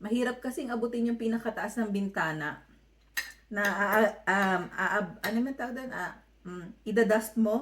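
With a fairly high pitch and ordinary pitch variation, a woman speaks in a somewhat breathy voice. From Philippines, Manila. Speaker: vlogger. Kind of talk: vlog voiceover.

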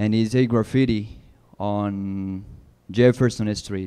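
Over a quiet background, a man speaks very slowly in a fairly low, dark, mellow voice. His intonation stays fairly even. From Colombia. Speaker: tenant organizer; panelist. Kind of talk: panel discussion. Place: hall. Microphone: handheld.

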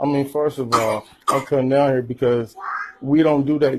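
A man with a fairly high pitch speaks in a monotone with flat intonation, light background noise behind him. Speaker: grandfather. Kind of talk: heated confrontation. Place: classroom. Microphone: phone near.

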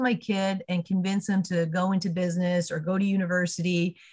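With a Canadian accent, a woman speaks in a somewhat breathy voice. The background is quiet. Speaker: chamber of commerce podcast host. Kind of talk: podcast interview. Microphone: video call.

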